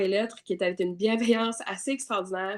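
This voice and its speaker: At a very fast pace, a woman talks in a medium pitch with fairly even intonation. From New Brunswick, Canada. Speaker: real estate broker. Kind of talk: podcast interview answer. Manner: casual, code-switching with English.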